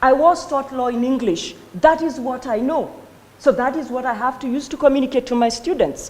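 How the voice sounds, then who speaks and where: A woman with a Kenyan accent, high in pitch with lively intonation, at a moderate pace amid audible room echo. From Kenya, Kikuyu-speaking. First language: Kikuyu. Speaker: law lecturer. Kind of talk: conference talk.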